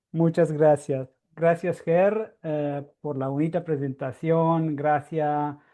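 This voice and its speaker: A very slow delivery in a non-native accent. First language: Italian (speaking Spanish). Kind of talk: lecture. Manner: halting.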